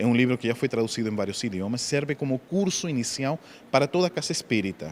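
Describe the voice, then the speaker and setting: Talking very fast with a non-native accent, a man speaks at medium pitch. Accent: foreign accent in Portuguese. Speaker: spiritist speaker and author. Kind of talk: interview; lecture. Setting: book fair in a shopping mall.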